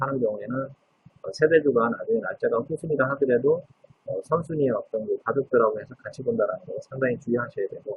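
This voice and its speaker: Fairly high male pitch with ordinary pitch variation, from a man. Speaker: legal scrivener. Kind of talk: lecture. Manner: fast; frequent filler 'uh' hesitations.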